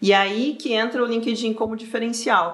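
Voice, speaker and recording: Over noticeable background noise, the moderate-paced speech has lively intonation. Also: woman. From southern Brazil (Rio Grande do Sul). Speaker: career mentor. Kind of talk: casual interview chat.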